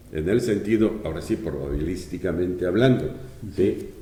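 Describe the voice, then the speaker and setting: Fairly slow speech from a man, with audible echo from the room. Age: 70s. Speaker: economist and former public official. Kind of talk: interview. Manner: halting.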